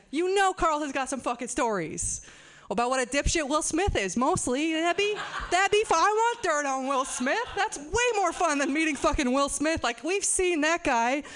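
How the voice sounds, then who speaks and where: With lively intonation, a woman speaks at a high pitch. Noticeable background noise runs behind her. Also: moderate pace. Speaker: stand-up comedian. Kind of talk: stand-up. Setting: stage with audience.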